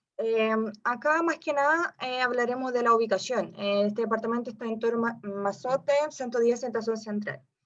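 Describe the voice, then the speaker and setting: Speaking with hardly any pauses, a woman with a slight non-native accent uses a fairly high pitch and ordinary pitch variation. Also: moderate pace. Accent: slight foreign accent in Spanish. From Brazil. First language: Portuguese (speaking Spanish). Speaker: real estate investment advisor. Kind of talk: webinar presentation. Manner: halting with fillers.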